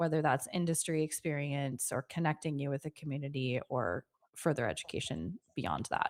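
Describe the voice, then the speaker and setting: A woman speaks at a moderate pace. The recording is very clean with a silent background, and the sound is dry and close with no echo. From United States. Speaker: podcast host. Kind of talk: interview.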